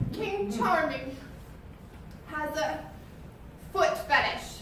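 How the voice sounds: A woman's put-on character voice, high in pitch, with ordinary pitch variation, a fairly bright tone, a very slow pace and strong room echo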